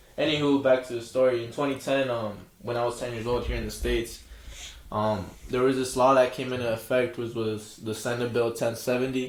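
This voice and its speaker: The voice moves at a fairly quick pace with monotone, flat intonation, and audible room echo surrounds it. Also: man, medium pitch for a man. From Arizona, raised from age six, born in Jalisco, Mexico. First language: Spanish. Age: 20s. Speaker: independent musician, rapper. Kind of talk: casual podcast interview. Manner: casual, filler-heavy, mixes Spanish words.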